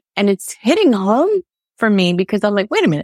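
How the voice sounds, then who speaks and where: On a very clean recording with a silent background and a dry, close sound with no echo, a woman with an American accent speaks at a fairly quick pace and medium pitch in an ordinary speaking voice. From United States, Sicilian-American family. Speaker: Sicilian folk singer. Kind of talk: casual chat.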